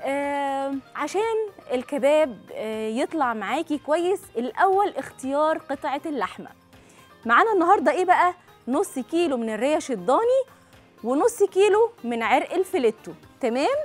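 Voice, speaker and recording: A high-pitched woman's voice over faint music in the background. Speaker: cooking show host. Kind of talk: tutorial. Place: studio. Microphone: lapel.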